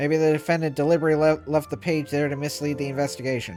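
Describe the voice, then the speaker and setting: Over clear music in the background, a man does a put-on character voice at a fairly high pitch and a very fast pace. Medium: virtual streamer. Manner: haughty, sneering.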